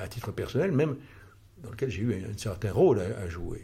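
With a dark, mellow tone and a fairly low pitch, a man speaks somewhat breathily and with lively intonation, and room echo is audible. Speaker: financial consultant and former senior finance official. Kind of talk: interview, lecture-like explanation. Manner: halting, with many hesitations and repetitions; formal.

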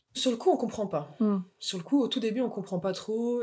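A woman with an unremarkable speaking voice talks at a fairly quick pace, her pitch rising and falling in an ordinary way. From France, Moselle. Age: 20s. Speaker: mother and artist. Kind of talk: casual interview chat.

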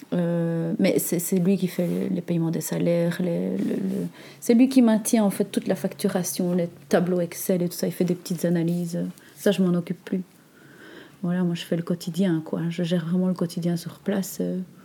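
A woman speaks at a fairly low pitch with a dark, mellow, somewhat breathy tone. Her intonation stays fairly even at a moderate pace. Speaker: natural cosmetics entrepreneur. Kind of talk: interview. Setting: meeting room next to workshop. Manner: calm, gentle; halting, many hesitations.

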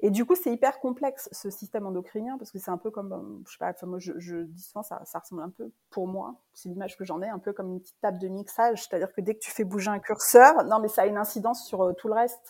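A woman at medium pitch, talking at a very fast pace with hardly any pauses, ordinary pitch variation and big swings in loudness. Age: 40s. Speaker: face yoga teacher. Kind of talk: interview. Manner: hesitant, many fillers.

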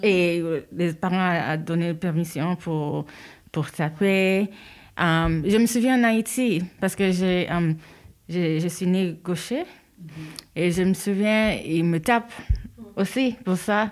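In a very clean recording with a silent background, a woman with a fairly low voice talks at a very slow pace, leaving long, frequent pauses. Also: ordinary pitch variation. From New York, US (born in Haiti). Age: 30s. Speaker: mother. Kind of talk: casual chat. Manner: halting, many fillers.

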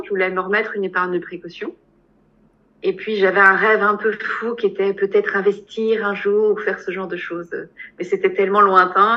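Here a woman is talking. She keeps a moderate pace, with ordinary pitch variation. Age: 40s. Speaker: hypnotherapist. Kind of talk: testimony. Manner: halting.

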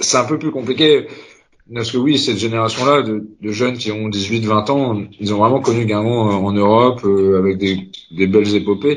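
A man talks at a moderate pace. His pitch varies an ordinary amount. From Concarneau, Finistère, Brittany. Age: 30s. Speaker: supporters' group president. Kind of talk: casual chat. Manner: halting.

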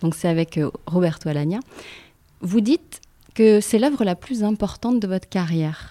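Dark, mellow tone from a woman at medium pitch, lively intonation, a moderate pace and long, frequent pauses. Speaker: podcast host. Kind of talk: interview conversation.

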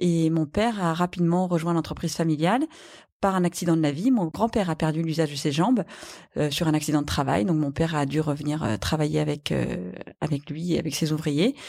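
A woman's very deep, low voice with a dark, mellow tone, very even loudness, ordinary pitch variation and a fairly quick pace, in a very clean recording against a silent background. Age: 40s. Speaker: company CEO. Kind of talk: interview.

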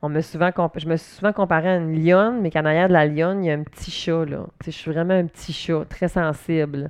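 A woman with a Quebec accent, fairly low pitch, fairly even intonation and a fairly quick pace. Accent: Québécois French. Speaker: podcaster. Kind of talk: casual monologue. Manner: loud.

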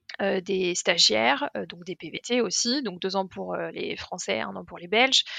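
A woman's fairly slow speech with hardly any pauses and big swings in loudness. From Paris, France. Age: 20s. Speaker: travel YouTuber. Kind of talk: casual interview chat.

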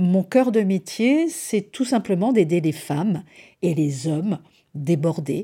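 At a very slow pace, a woman speaks in a fairly low pitch with a dark, mellow, somewhat breathy tone and lively intonation, on a very clean recording with a silent background. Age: 40s. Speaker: podcast host and time-management coach. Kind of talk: solo podcast monologue. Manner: hesitant, with repeated words.

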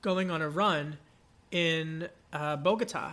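A high-pitched man's voice with an American accent. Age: 30s. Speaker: journalist and policy fellow. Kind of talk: podcast interview.

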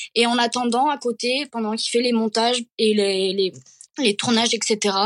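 A woman's fairly high voice with ordinary pitch variation, in a dry, close sound with no echo. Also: quiet background. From Catalonia. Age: 20s. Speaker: social media creator. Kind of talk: interview. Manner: halting.

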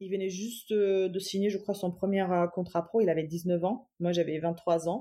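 A woman's medium-pitched voice, dark and mellow in tone, at a fairly slow pace with fairly even intonation. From Germany, Cologne, Iranian parents. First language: German (speaking French). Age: 30s. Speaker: entrepreneur, footballer's wife. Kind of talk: interview, personal story.

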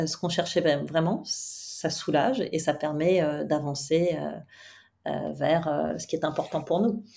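Her tone dark and mellow, a woman speaks at a fairly slow pace with a fairly low pitch. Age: 50s. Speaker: coach and therapist. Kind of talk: interview conversation.

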